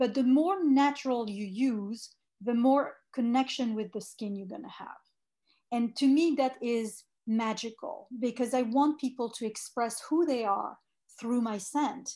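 A woman speaks fairly slowly in a high pitch with a French accent, her tone dark and mellow. Her loudness swings widely, her pitch varies in an ordinary way, and the background is quiet. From France. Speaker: fragrance executive. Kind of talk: interview.

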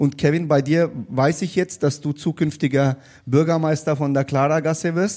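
At a moderate pace, a man talks in an unremarkable speaking voice, fairly high in pitch, with fairly even intonation. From came to Bavaria (Bayreuth) at age eight. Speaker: state politician. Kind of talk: live panel discussion. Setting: stage with live audience.

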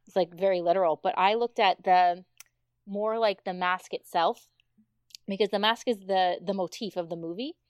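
A woman speaks at a moderate pace in a medium pitch with fairly even intonation and an unremarkable speaking voice, the sound dry and close with no echo. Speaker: foreign correspondent, guest. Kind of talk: casual podcast chat.

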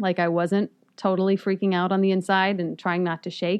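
A woman's medium-pitched voice at a fairly quick pace, a normal speaking voice. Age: 30s. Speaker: investigative TV reporter. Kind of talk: casual chat. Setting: studio.

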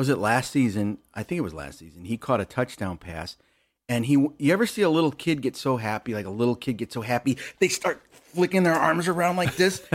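A man talks at medium pitch and a fairly quick pace, with vocal fry. His pitch swings very widely on a very clean recording with a silent background. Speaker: podcast guest, friend of host. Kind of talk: casual chat. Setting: at home. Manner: puts on a podcast voice.

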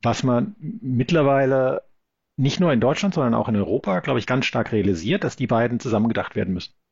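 At a fairly quick pace, a man speaks with a medium pitch and very even loudness. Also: lively intonation. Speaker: law professor. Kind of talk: interview. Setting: remote call from Sydney. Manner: halting, many fillers.

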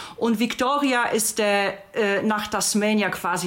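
Noticeable background noise sits under a woman speaking at a very slow pace. She has a medium pitch and a Polish accent. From Poland. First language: Polish (speaking German). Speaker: podcast guest, friend of host. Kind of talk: casual chat.

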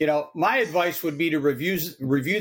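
Moderate in pace, this is an ordinary speaking voice with ordinary pitch variation. The recording is very clean, with a silent background. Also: man. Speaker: industry blogger/business owner. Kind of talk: panel discussion.

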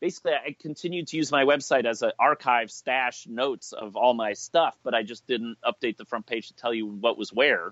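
In an American accent, a man talks at a fairly quick pace with an ordinary speaking voice, medium pitch and ordinary pitch variation. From US Midwest (Chicago). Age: 40s. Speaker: internet pioneer, early blogger. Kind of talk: interview conversation. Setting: remote call (Skype).

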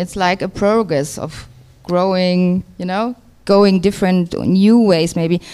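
A woman's fairly slow speech in a German accent. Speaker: record label co-founder and DJ. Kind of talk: interview.

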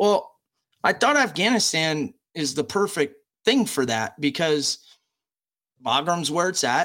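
A man talks with an American accent at a moderate pace. His tone is bright and sharp, his intonation lively. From United States. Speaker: special operations veteran. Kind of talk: casual interview.

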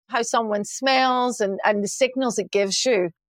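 In a Glasgow accent, the voice comes through in a very clean recording with a silent background and a dry, close sound with no echo. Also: woman. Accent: Scottish (Glasgow). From Scotland, Glasgow. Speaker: chief marketing officer. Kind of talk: interview.

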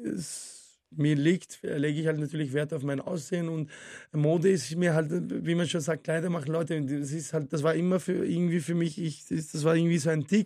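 In an Arabic accent, a man speaks with a dark, mellow tone and fairly high pitch. His intonation is fairly even, his pace moderate, and the background quiet. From Syria, moved to Vienna at 12. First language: Arabic (speaking German). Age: 40s. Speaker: former Thai boxing champion, martial arts coach. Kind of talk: casual interview. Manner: hesitant, many fillers.

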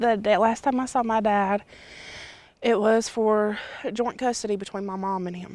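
A woman's fairly high voice at a moderate pace, flat and monotone, with long, frequent pauses and big swings in loudness. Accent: Southern US. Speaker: daughter of a slain police officer. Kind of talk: interview.

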